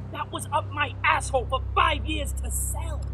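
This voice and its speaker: There is loud background noise. Through it, a man speaks at a moderate pace. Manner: threatening, then screaming in pain.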